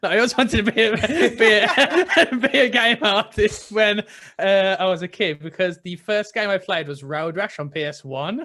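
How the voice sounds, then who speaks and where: A man projects a raised voice with a high pitch, a bright, sharp tone and very wide pitch swings. He keeps a moderate pace, and the recording is very clean with a silent background. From West Midlands, England (Tipton, near Birmingham). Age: 20s. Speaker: junior 3D artist for video games, podcast host. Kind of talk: casual interview chat.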